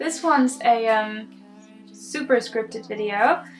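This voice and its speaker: Noticeable background noise runs under the voice. The delivery is fairly slow. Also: woman. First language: not English. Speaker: singer-songwriter and video creator. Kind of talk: scripted tutorial talk. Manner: hesitant fillers.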